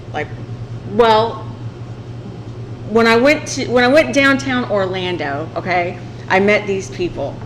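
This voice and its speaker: A woman talks at a fairly slow pace with very wide pitch swings and long, frequent pauses. Noticeable background noise and audible room echo fill the recording. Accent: strong Southern US. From southern Illinois. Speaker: podcast host. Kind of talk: casual chat.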